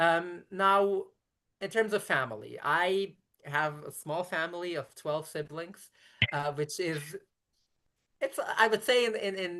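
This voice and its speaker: A woman with a fairly low pitch and ordinary pitch variation talks at a fairly slow pace. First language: Yiddish. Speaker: rabbi. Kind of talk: interview conversation. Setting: live stream on video call.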